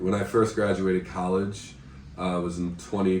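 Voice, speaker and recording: Very deep, low male voice with an American accent and audible room echo. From United States. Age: 20s. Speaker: English teacher and volunteer. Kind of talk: casual interview. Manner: hesitant, many fillers.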